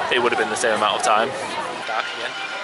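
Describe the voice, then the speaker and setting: A man talks at a fairly quick pace in a dry sound with no echo. Loud background noise sits behind him. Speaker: vlogger. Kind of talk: casual vlog chat. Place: street. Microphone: phone near.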